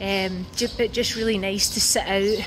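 With noticeable background noise, a woman speaks at a fairly slow pace in a monotone, flat intonation. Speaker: travel vlogger. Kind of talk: casual vlog chat. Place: waterside. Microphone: phone near.

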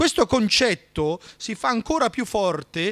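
A man is speaking. The background is quiet. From Italy, Trento; Italy. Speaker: history lecturer. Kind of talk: lecture. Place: hall. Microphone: studio mic.

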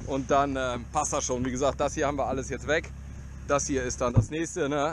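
A man talking at a fairly quick pace, dry sound with no echo, noticeable background noise. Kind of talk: casual vlog commentary. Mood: joking, relaxed. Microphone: helmet.

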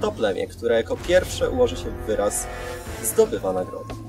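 Clear music plays in the background. A man speaks over it in a dry sound with no echo. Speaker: game host. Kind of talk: announcing game rules to a group. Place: open country.

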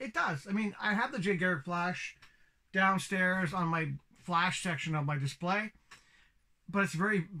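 At a moderate pace, a man projects a raised voice with a bright, sharp tone. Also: ordinary pitch variation. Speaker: toy reviewer. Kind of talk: casual review vlog chat. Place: home room. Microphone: phone near.

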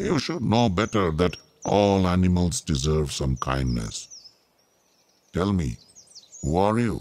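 A very deep, low male voice at a fairly slow pace, with very wide pitch swings. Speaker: voice actor playing Hanuman. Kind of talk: dramatized character dialogue.

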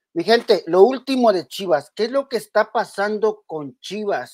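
In a very clean recording with a silent background, a woman speaks at a medium pitch with very wide pitch swings. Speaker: football channel host. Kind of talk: casual sports commentary vlog. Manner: halting, repetitive.

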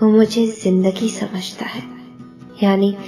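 A woman speaks with fairly even intonation. Music sounds in the background. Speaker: poetry reciter. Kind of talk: poetry reading.

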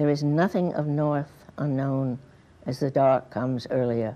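This woman has a very deep, low pitch and a dark, mellow tone. She speaks at a fairly slow pace. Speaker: poet. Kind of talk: poetry reading. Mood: quiet, reflective. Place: studio. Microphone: lapel.

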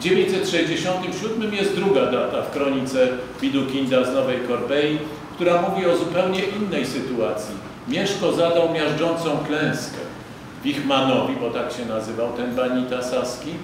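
Over noticeable background noise and strong room echo, a man speaks at a fairly slow pace. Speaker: lecturer. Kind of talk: lecture. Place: hall. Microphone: podium.

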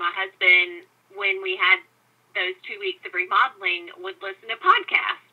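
A woman talks in a Southern US accent at a moderate pace. Her medium pitch follows fairly even intonation. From US South. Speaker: podcast host. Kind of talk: interview conversation.

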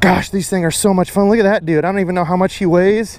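The recording is dry, with no echo. A man speaks at a high pitch. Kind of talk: casual vlog chat and fishing tips. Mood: excited, happy. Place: waterside. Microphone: phone near.

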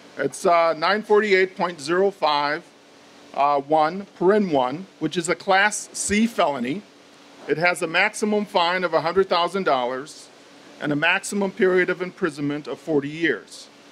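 Over light background noise, a man with a high voice speaks at a very slow pace with ordinary pitch variation. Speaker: judge. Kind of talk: public speech. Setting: stage with audience. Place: meeting room. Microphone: podium.

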